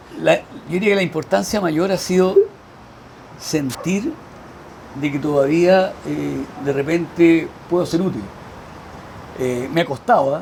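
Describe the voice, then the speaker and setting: Noticeable background noise sits behind a man with a Chilean accent. He speaks fairly slowly at a high pitch. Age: 60s. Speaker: veteran volunteer firefighter. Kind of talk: interview.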